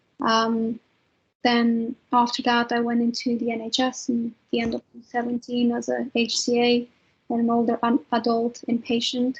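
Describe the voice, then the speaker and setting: A woman speaks with a Romanian accent at a high pitch. Her intonation is monotone and flat. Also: moderate pace. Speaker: trainee clinical psychologist. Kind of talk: webinar panel talk.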